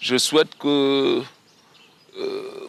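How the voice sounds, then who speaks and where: The sound is dry and close, with no echo. A man does the talking. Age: 60s. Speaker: retired walker and runner. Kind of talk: interview testimony. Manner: halting.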